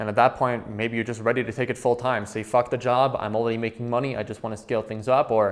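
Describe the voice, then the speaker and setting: Very fast speech in a Quebec accent. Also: man. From Quebec, Canada. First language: French. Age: 20s. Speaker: trading educator. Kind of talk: course introduction.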